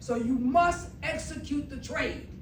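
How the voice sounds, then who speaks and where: Over noticeable background noise and audible room echo, a woman speaks with an animated tone, a high pitch and ordinary pitch variation. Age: 60s. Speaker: investor giving testimony. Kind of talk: testimony.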